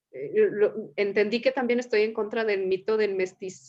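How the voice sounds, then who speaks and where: In a normal speaking voice, a woman talks at a fairly slow pace with fairly even intonation and a fairly high pitch. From Mexico. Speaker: psychotherapist, series host. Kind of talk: casual conversation.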